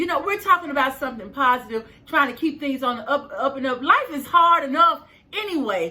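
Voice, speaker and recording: Over noticeable background noise, a woman speaks at a fairly quick pace in a raised, projected voice with a high pitch, an animated tone and lively intonation. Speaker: life coach and video host. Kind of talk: motivational vlog monologue. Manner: high-pitched at times.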